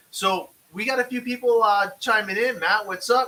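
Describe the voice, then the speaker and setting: A man projects a raised voice at a high pitch. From Canada. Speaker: RC racing podcast host. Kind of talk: live-streamed casual chat. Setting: home studio, live stream.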